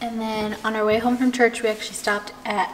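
This is a woman speaking. There is light background noise. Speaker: lifestyle vlogger. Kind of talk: casual vlog chat. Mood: cheerful, relaxed. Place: kitchen. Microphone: camera far.

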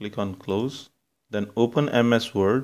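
A man with a Punjabi accent speaks with ordinary pitch variation in a very clean recording with a silent background. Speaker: computer science lecturer and software developer. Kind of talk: software tutorial.

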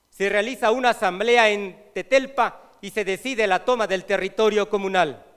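A man speaks at a fairly slow pace in a high pitch with ordinary pitch variation. The background is quiet. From Mexico, Morelos; Mexico. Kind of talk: reading a prepared report aloud. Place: hall. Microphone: podium.

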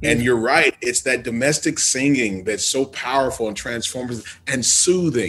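Animated in tone, a man at medium pitch talks at a moderate pace with ordinary pitch variation and hardly any pauses. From US Midwest. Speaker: podcast host. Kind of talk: interview.

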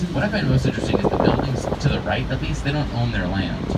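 Loud noise fills the background while a man talks. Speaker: river tour guide. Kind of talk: tour guide commentary. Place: boat.

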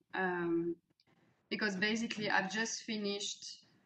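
This woman has a French accent and a medium pitch. She speaks at a fairly slow pace with fairly even intonation. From France. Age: 30s. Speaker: executive coach. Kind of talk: interview. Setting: video call. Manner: hesitant, many fillers. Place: home room. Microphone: webcam.

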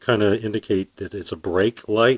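A man talks at a moderate speed, and the background stays quiet. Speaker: product reviewer. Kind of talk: casual product review. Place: garage. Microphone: phone near.

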